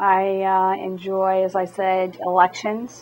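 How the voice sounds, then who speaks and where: A woman speaks at a fairly slow pace. Her voice sits at a medium pitch. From Maine. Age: 60s. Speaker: city clerk. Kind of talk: interview.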